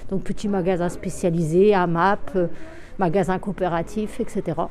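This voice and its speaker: Noticeable background noise accompanies the recording. A woman talks with fairly even intonation. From Brittany, France (Brest). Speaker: dairy farmer. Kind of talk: interview in a documentary report. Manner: hesitant, with fillers.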